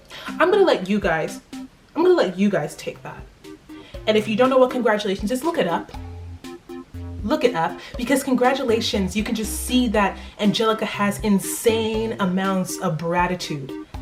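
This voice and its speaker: With music in the background, a woman in an American accent speaks at a moderate pace, her fairly high voice animated in tone and lively in intonation. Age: young. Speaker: student. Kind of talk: casual talk to camera. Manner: animated, emphatic.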